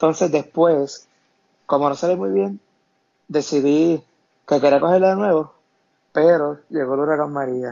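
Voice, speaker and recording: A man's fairly high voice at a fairly slow pace, with long, frequent pauses and ordinary pitch variation. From Puerto Rico, Camuy. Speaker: burn accident survivor. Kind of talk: interview testimony.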